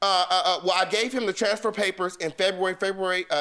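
A man with an American accent projects a raised voice at a high pitch, his tone bright and sharp. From US West Coast. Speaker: plaintiff in a TV court case. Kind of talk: heated debate. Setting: studio. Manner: animated. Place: hall.

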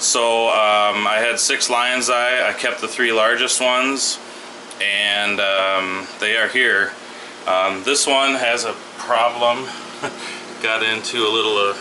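Speaking at a very slow pace, a man keeps a monotone, flat intonation. Light background noise is present. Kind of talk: casual tour commentary. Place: home room. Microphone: phone near.

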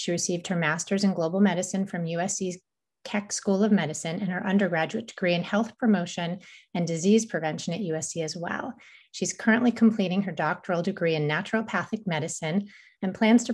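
A somewhat breathy woman at a fairly quick pace. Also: quiet background. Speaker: organization host introducing a speaker. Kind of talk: event introduction. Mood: warm, grateful. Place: home room. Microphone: webcam.

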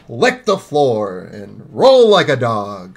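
A gruff, put-on character voice from a man, medium in pitch and very slow in pace.

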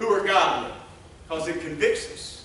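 A man speaks in a raised, projected voice against strong room echo. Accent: Southern US. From US South. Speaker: revival preacher. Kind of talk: impassioned revival sermon building to an altar call. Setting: church service with congregation. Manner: fervent, rolling cadence punctuated by repeated amens; stammers and repeats words when emotional. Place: church.

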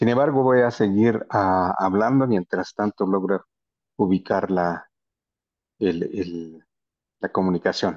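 A man speaks at a very slow pace with fairly low pitch and ordinary pitch variation. The background is quiet. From Guatemala, Maya Q'anjob'al territory. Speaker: panelist. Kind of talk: panel presentation. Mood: earnest, critical. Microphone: video call.

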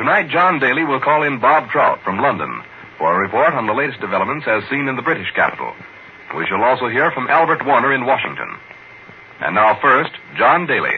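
Over light background noise, a man with a plain, everyday voice speaks at a fairly quick pace, his pitch fairly high and ordinarily varied. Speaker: radio program announcer. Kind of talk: 1940s radio program introduction. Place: studio. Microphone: old recording.

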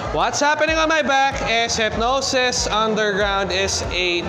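A man's raised, projected voice at a fairly slow pace, against noticeable background noise. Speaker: event vlogger. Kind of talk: casual vlog chat. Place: hall. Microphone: phone near.

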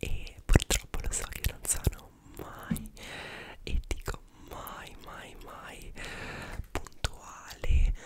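Soft-spoken whispering comes at a very slow pace, broken by long, frequent pauses. Loud background noise sits behind it. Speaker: content creator. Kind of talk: casual vlog chat. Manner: soft close-mic whisper. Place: home room. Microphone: studio mic.

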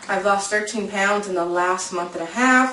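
Music plays in the background and room echo is audible as a woman speaks at a fairly slow pace, medium in pitch with ordinary pitch variation. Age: 30s. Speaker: lifestyle vlogger. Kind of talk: casual vlog monologue. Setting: home video recording. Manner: chatty, informal with fillers. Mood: relaxed, upbeat. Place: home room. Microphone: webcam.

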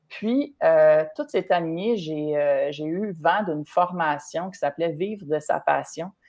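A woman talks very slowly with hardly any pauses at a fairly low pitch. Her pitch variation is ordinary, against a quiet background. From Quebec. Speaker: triathlon and running coach, entrepreneur; running coach. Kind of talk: live-streamed interview. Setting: live stream video call. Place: home room. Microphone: video call.

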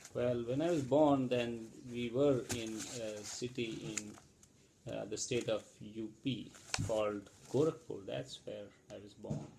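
Noticeable background noise sits behind a man who talks at a very slow pace, his dark, mellow tone showing ordinary pitch variation. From India. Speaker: parent being interviewed. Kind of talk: family interview. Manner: hesitant with fillers. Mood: relaxed, reminiscing. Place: home room. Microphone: webcam.

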